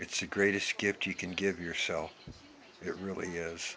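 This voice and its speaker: Over noticeable background noise, a man with an American accent and a very deep, low pitch speaks at a moderate pace. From US Pacific Northwest, Yakima, Washington. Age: 60s. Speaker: vlogger. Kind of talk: impassioned monologue. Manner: emphatic.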